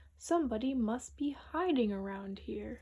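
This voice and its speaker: A woman puts on a character voice with a fairly high pitch. Her intonation is lively and her pace is moderate. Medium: read story.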